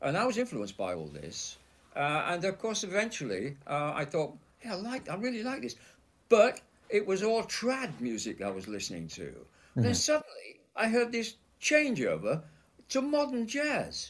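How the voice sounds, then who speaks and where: Speaking at a moderate pace, a man talks in a Yorkshire accent. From Leeds, Yorkshire. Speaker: session drummer. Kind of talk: interview.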